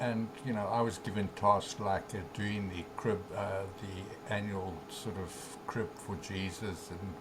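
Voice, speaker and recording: The room gives a man's voice an audible echo. There is noticeable background noise too. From South Africa. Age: 70s. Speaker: author and spiritual teacher. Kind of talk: interview. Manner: halting, many fillers.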